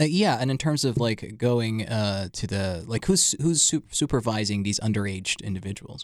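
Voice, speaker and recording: A man talks in a plain, everyday voice at a medium pitch, with lively intonation. He keeps a moderate pace with hardly any pauses, in a very clean recording with a silent background. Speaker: podcast host. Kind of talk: casual interview.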